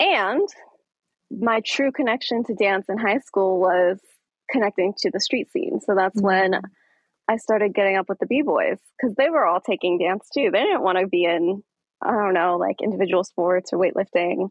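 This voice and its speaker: A woman with an American accent speaks in a plain, everyday voice at a moderate pace. Her pitch variation is ordinary and her loudness very even. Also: medium pitch for a woman. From Aurora, Colorado, US. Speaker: dance studio founder and podcast host. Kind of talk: casual interview.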